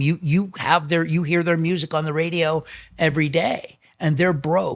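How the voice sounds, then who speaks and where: A man with a high voice talks at a moderate pace, his intonation fairly even. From Chicago. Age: 60s. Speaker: drummer. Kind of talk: interview storytelling.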